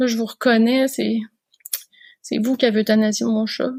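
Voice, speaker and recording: A woman talks at a fairly quick pace in a Quebec accent. Her pitch is fairly high and her intonation fairly even. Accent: Québécois French. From Quebec, Canada. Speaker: veterinarian. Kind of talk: podcast interview answer.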